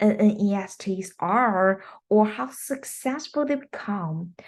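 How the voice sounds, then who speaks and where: Speaking at a very slow pace with a non-native accent, a woman uses lively intonation. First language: not English. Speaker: English teacher. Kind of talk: recorded presentation.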